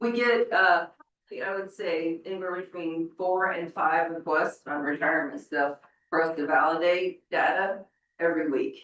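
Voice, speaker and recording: A woman with a fairly low pitch speaks at a moderate pace, with ordinary pitch variation. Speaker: HR director. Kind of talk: board meeting presentation. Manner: loud.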